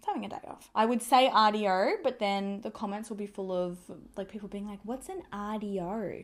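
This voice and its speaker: With an Australian accent, the words come out at a fairly quick pace. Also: woman. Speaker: beauty vlogger. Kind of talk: makeup tutorial. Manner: casual, chatty.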